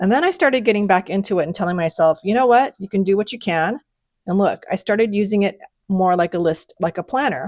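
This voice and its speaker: A woman talks very fast at a medium pitch with ordinary pitch variation, recorded very cleanly against a silent background with a dry, close sound and no echo. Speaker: planner and journaling content creator. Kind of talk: casual flip-through tutorial. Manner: casual, filler-heavy.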